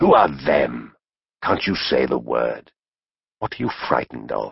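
A man's put-on character voice, very deep and low in pitch, raspy, with hissing. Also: moderate pace. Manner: hissing, angry.

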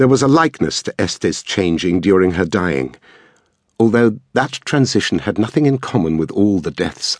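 Very deep and low, this man's voice carries a solemn tone and vocal fry at a moderate pace. His pitch swings very widely, and the sound is dry and close with no echo. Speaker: audiobook narrator. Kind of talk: dramatic audiobook narration. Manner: measured, poetic, solemn delivery.

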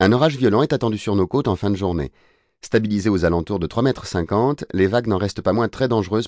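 Quiet background behind reading aloud in a natural voice.

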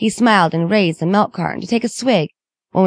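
With ordinary pitch variation, someone is reading aloud in a natural voice, and the background is quiet.

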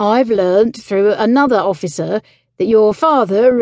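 A woman speaks with a fairly high pitch and a dark, mellow tone. The sound is dry and close with no echo. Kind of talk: dramatic audiobook narration. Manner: animated, theatrical, shifting between characters; tense, suspenseful pacing with indignant, clipped delivery in dialogue.

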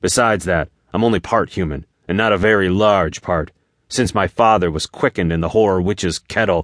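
A quiet background sits behind a natural reading voice whose pitch varies in an ordinary way.

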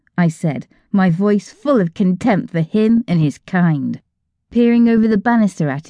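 A natural voice reading aloud, the background quiet

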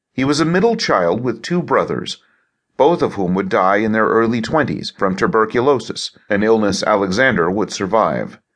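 Against a quiet background, a man with an unremarkable speaking voice talks at a moderate pace and medium pitch with lively intonation. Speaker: audiobook narrator. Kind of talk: audiobook narration of a history biography. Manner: measured, formal, even documentary delivery; steady, clear and authoritative.

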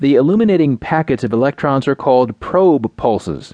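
Lively intonation from a man with a normal speaking voice, delivered at a moderate pace. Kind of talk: audiobook nonfiction reading, scripted science article narration. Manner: formal, measured, even-paced; clear, didactic, steady delivery of technical terms.

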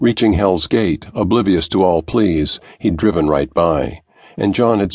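Someone is reading aloud in a natural voice.

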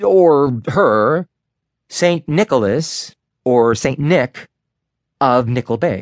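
With a dramatic tone and lively intonation, a man speaks at a fairly high pitch. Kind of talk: audiobook narration, first-person as an eleven-year-old boy. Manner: dramatic, building tension, expressive.

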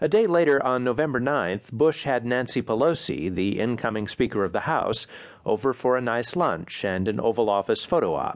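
This man has a plain, everyday voice at a medium pitch, with lively intonation. He talks at a moderate pace over a quiet background. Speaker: audiobook narrator. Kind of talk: formal news-magazine reading, polished and measured, with dry irony on political lines. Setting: studio. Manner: formal.

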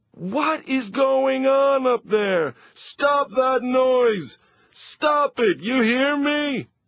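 A man uses a put-on character voice at an extremely high pitch. He speaks very slowly, with ordinary pitch variation. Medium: read story. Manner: scowling, irritable, shouting.

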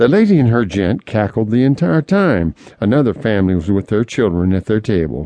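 A man speaks at a moderate pace in a medium pitch. He has an ordinary speaking voice. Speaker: audiobook narrator and memoirist. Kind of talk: audiobook reading of a memoir, recalling a childhood train trip in vivid detail. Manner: descriptive, nostalgic, gentle storytelling.

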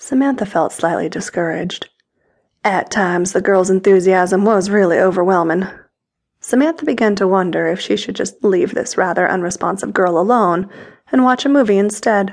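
Medium-pitched female voice, an unremarkable speaking voice, its pitch varying in an ordinary way. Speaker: audiobook narrator. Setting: studio. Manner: intimate, sensual, unhurried storytelling with a teasing, playful tone.

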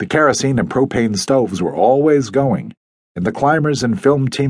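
Ordinary pitch variation marks an unforced reading voice, and the background stays quiet.

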